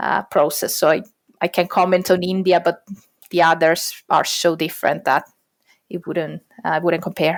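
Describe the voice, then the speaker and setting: This very clean recording has a silent background and features a woman with a fairly low pitch. She talks at a moderate pace in a flat monotone, with long, frequent pauses. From Italy. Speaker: adoptive parent. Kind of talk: podcast interview answer.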